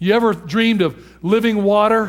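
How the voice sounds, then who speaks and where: A man talks in an American accent. The background is silent and the recording very clean. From Detroit, Michigan. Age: 50s. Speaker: pastor. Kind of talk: sermon. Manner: animated.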